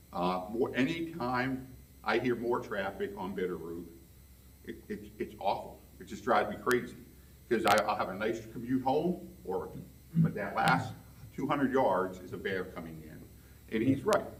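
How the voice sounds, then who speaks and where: A man at medium pitch with very wide pitch swings and a moderate pace, plus audible room echo and noticeable background noise. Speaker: resident speaking at public hearing. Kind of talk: public comment at zoning meeting. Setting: public meeting room. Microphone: speaking without microphone.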